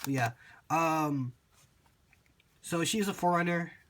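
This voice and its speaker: A man talks in a somewhat breathy voice. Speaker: card game video creator. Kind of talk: tutorial. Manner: casual with many fillers.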